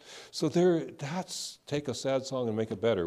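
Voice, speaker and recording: A man with a Californian accent, a dark, mellow tone, ordinary pitch variation and a moderate pace. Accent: Californian American. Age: 70s. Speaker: Buddhist minister. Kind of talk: sermon. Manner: conversational, informal.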